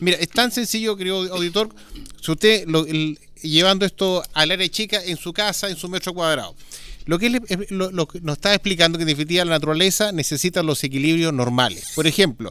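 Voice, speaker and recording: Very fast and in a bright, sharp tone, a man with a Chilean accent speaks at a high pitch with ordinary variation. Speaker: radio host. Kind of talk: radio talk show. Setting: live broadcast on location at a vineyard.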